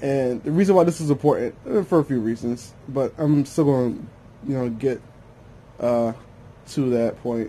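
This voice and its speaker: A dark, mellow, somewhat breathy voice at a moderate pace, with ordinary pitch variation and long, frequent pauses. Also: man, medium pitch for a man. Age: 20s. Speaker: vlogger and DJ. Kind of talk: casual monologue vlog. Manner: mumbling when lazy; rambling, with many fillers.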